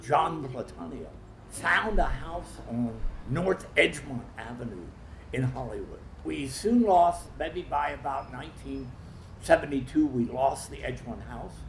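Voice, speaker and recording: The speech moves at a fairly slow pace with big swings in loudness. Audible room echo and noticeable background noise fill the recording. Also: man. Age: 80s+. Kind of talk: documentary interview.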